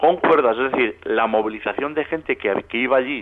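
A man at medium pitch and a fairly quick pace, with ordinary pitch variation. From Matarraña, Aragon, Spain. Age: 50s. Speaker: writer and researcher. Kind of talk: interview. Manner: halting, many fillers.

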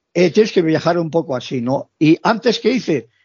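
At a moderate pace, a man speaks in a high-pitched voice. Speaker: long-term traveller. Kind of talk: interview.

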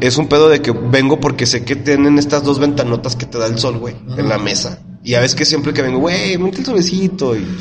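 The speech comes at a fairly quick pace, with audible room echo and noticeable background noise. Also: man, fairly high pitch for a man, ordinary pitch variation. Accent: Mexican. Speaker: podcast co-host. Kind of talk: casual chat.

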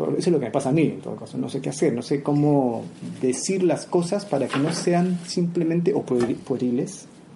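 A man with an unremarkable speaking voice at a fairly slow pace, with ordinary pitch variation. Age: 40s. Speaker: historian and poet. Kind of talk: interview.

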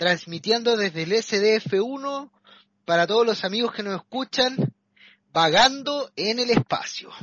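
This man's voice sits at an extremely high pitch, with lively intonation. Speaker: podcast host. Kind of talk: casual chat.

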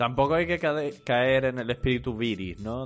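Music plays in the background as a man speaks. His pace is fairly slow. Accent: Andalusian. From Andalusia. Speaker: podcast host. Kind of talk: casual chat.

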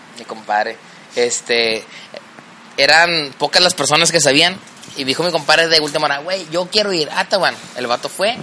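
A man's fairly high voice at a moderate pace, with ordinary pitch variation, long, frequent pauses and noticeable background noise. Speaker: amateur baseball player. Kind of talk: casual chat. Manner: stutter when nervous.

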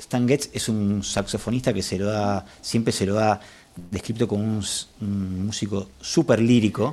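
A man's dark, mellow voice, fairly slow, with fairly even intonation. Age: 50s. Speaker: jazz enthusiast. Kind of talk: casual chat. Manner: halting.

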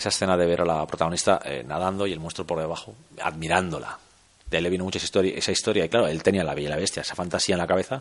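Very fast speech from a man with a very deep, low pitch and ordinary pitch variation. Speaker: film podcast host. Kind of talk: casual chat.

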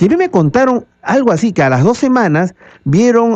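A man speaks with very wide pitch swings. Music runs in the background. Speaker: radio host, ufologist. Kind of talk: radio talk show. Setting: radio studio.

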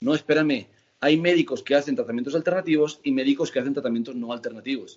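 The speech comes very fast, with ordinary pitch variation. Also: man. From Spain, Barcelona. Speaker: physiotherapist and osteopath. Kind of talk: casual interview.

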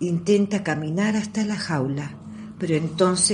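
Reading aloud in a natural voice, this speaker uses ordinary pitch variation.

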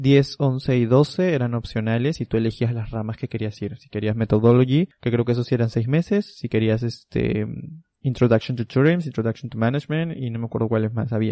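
A man with an ordinary speaking voice talks at a moderate pace. His pitch is medium, with ordinary variation. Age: 20s. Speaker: podcast co-host. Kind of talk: casual chat.

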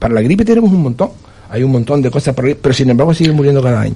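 A man's very fast delivery at a medium pitch. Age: 60s. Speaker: political commentator. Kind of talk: panel discussion.

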